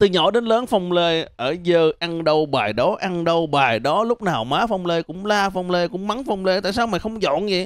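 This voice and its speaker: With lively intonation and hardly any pauses, a man speaks at a moderate pace against a quiet background, the sound dry with no echo. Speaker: stand-up comedian. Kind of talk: stand-up comedy monologue. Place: stage. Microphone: handheld.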